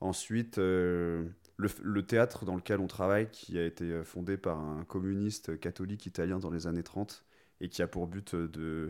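On a very clean recording with a silent background, a man with a very deep, low voice speaks with fairly even intonation. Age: 20s. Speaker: volunteer in shared solidarity housing. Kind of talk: interview.

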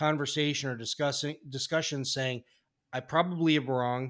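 With a normal speaking voice, a man talks at a moderate pace and a fairly high pitch in a very clean recording with a silent background. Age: 50s. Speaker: podcast host. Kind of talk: casual interview.

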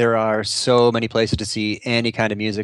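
A man speaks with a Chicago accent. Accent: Chicago-area American. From US Midwest, Chicago suburbs. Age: 40s. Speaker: content marketing strategist. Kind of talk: interview conversation.

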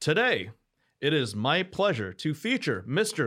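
A man with vocal fry and very wide pitch swings speaks at a fairly slow pace on a very clean recording with a silent background. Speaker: podcast host. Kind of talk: interview.

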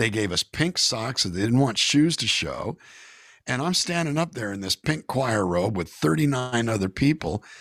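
A man speaks at a moderate pace in an animated tone, with an American accent. His pitch is medium and swings very widely. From California. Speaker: singer-songwriter. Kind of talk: casual interview. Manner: animated storytelling.

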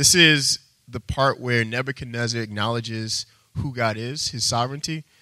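With an American accent, a man talks at a moderate pace and medium pitch, his intonation fairly even, in a plain, everyday voice. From Texas. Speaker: preacher. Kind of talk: sermon. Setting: church.

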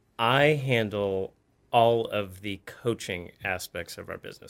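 In a very clean recording with a silent background, a man with a plain, everyday voice speaks at medium pitch and a moderate pace, with ordinary pitch variation and big swings in loudness. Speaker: coach. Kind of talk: casual interview chat.

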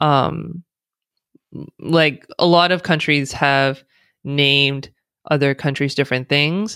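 In an American accent, the speech moves at a very slow pace with long, frequent pauses and very even loudness. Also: woman, very deep, low pitch for a woman. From United States. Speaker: DEI consultant and speaker. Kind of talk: interview conversation. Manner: animated, chatty.

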